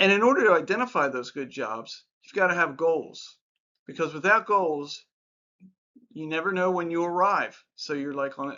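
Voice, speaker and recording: Here a man speaks at a high pitch with lively intonation. His loudness swings widely. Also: moderate pace. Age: 60s. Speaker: life advice YouTuber. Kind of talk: casual talk-to-camera advice monologue. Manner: conversational with filler words.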